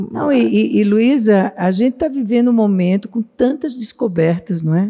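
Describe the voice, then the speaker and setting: A woman's voice has a dark, mellow tone at a medium pitch. Her loudness stays very even. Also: lively intonation, moderate pace. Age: 60s. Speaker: psychologist and psychoanalyst. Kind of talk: podcast interview.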